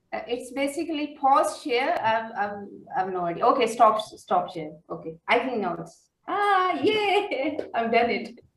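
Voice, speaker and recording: In a room with audible echo, a woman with a high pitch talks at a fairly slow pace with hardly any pauses and very wide pitch swings. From Pakistan. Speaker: poet. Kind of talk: poetry reading.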